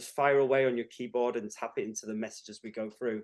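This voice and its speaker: A man with a northern accent, talking at a fairly quick pace. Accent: a bit northern. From northern England, Cumbria. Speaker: tutor. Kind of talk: webinar lecture. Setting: online webinar.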